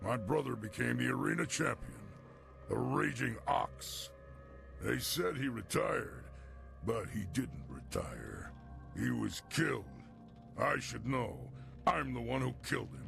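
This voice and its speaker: A man's put-on character voice at a fairly slow pace with long, frequent pauses, over clear music in the background. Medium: video game. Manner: gruff, blunt.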